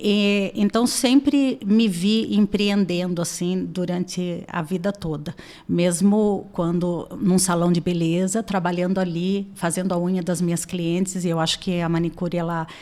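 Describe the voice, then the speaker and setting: A woman's medium-pitched voice, dark and mellow in tone, at a fairly slow pace with hardly any pauses and fairly even intonation. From Brazil, Sorocaba, interior of São Paulo. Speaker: beauty entrepreneur. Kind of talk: interview.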